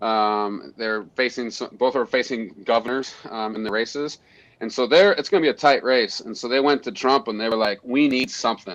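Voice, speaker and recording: With a quiet background, a man with an American accent and an ordinary speaking voice talks at a moderate pace in a medium pitch, with ordinary pitch variation. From Montana. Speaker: conservation group leader. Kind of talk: podcast interview.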